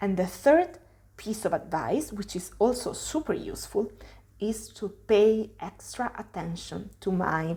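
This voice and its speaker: Lively intonation and vocal fry mark a dark, mellow voice with an Italian accent. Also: woman, medium pitch for a woman. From Italy. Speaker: language teacher. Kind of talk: tutorial. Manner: hesitant with fillers.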